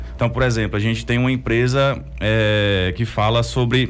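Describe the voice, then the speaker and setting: A man at a moderate pace, with audible room echo. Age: 30s. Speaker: entrepreneur. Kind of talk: interview.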